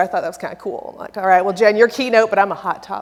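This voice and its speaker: This woman speaks with a fairly high pitch, ordinary pitch variation and a Texan accent. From Texas. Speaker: software company presenter. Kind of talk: conference presentation. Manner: animated; loud.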